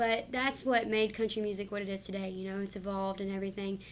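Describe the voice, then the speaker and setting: The speaker talks with an American accent. The intonation is monotone and flat. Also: woman. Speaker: singer. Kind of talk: interview.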